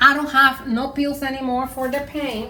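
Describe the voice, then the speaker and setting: In a Puerto Rican accent, a woman speaks with a bright, sharp tone and audible room echo. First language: Spanish. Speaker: home cook. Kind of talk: cooking tutorial. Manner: casual, hesitant.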